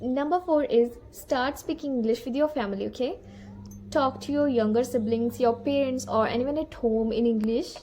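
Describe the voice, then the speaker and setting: Over noticeable background noise, a woman with a Punjabi accent speaks in a high voice with ordinary pitch variation. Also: moderate pace. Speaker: English-speaking coach. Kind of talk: tutorial. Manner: casual, conversational.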